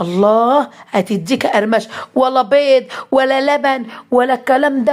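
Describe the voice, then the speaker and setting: Speaking with an Egyptian accent, a woman uses a high voice with ordinary pitch variation. Her tone is animated. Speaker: cooking vlogger. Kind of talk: cooking tutorial.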